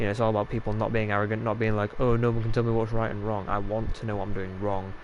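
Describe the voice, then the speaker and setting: A man with a Yorkshire accent talks at a very fast pace. His fairly low voice stays monotone, with flat intonation. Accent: Yorkshire, drops T's. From Yorkshire, northern England. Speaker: gaming streamer. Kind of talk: live gameplay stream chat. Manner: casual, filler-heavy.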